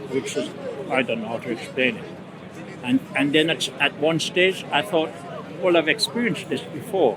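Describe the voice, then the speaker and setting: Against noticeable background noise, a man with a fairly high pitch speaks at a moderate pace, his pitch swinging very widely between long, frequent pauses. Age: 80s+. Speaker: non-religious member of the public. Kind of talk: street debate. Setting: outdoors at a public speaking park. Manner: halting.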